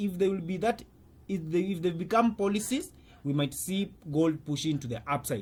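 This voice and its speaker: A man speaks at a moderate pace with a high pitch and lively intonation. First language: not English. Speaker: currency trader and trading coach. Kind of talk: market commentary video. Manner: halting, with many fillers.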